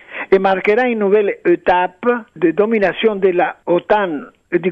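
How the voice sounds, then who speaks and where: Very slow speech in a Spanish accent, with lively intonation. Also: man. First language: Spanish (speaking French). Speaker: former ambassador. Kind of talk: radio interview. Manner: halting.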